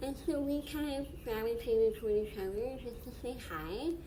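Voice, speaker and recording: A woman speaks at a moderate pace with high pitch. Noticeable background noise is present. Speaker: mindset coach. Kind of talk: casual talk to camera.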